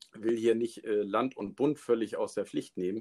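A man's medium-pitched voice in a dry, close sound with no echo. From Schleswig-Holstein, northern Germany. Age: 40s. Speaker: forester and local politician. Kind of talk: casual interview. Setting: live remote call.

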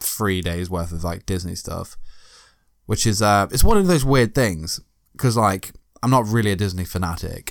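A man with an English accent and a fairly low pitch speaks at a moderate pace in a very clean recording with a silent background. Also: ordinary pitch variation. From Britain. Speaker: podcast co-host. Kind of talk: casual chat.

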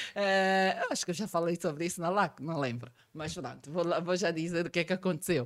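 A woman with a fairly low pitch and an unremarkable speaking voice talks at a fairly quick pace, with ordinary pitch variation and hardly any pauses. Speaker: accountant and tax trainer. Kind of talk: podcast interview.

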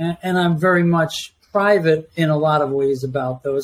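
This is an ordinary speaking voice with an American accent. It moves at a moderate pace. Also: man. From New York. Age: 50s. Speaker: retired Coast Guard veteran. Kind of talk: casual chat.

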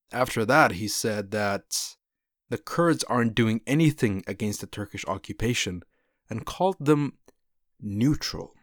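A normal speaking voice with lively intonation at a fairly slow pace, in a dry, close sound with no echo and a very clean recording over a silent background. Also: man, medium pitch for a man. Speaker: podcast host covering Kurdish news. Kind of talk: news commentary and interview.

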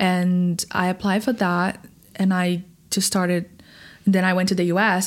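On a very clean recording with a silent background, a woman speaks at a medium pitch with a Portuguese accent. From Brazil. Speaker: singer. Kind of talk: interview.

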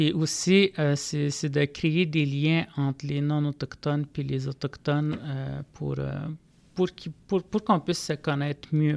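Very slowly and with fairly even intonation, a man with fairly high pitch speaks in a dry, close sound with no echo. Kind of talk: podcast interview. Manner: halting, many repetitions.

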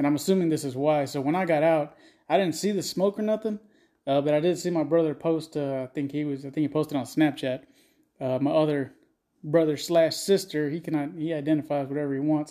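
Delivered in a Texan accent, the voice has a dark, mellow tone, fairly even intonation and a fairly quick pace on a very clean recording with a silent background. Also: man, fairly high pitch for a man. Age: 30s. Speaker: podcast host. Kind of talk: casual, crude comedic rant. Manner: crude, joking.

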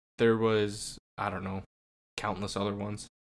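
The man's fairly low voice comes across dry and close, with no echo. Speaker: podcast host. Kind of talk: casual chat.

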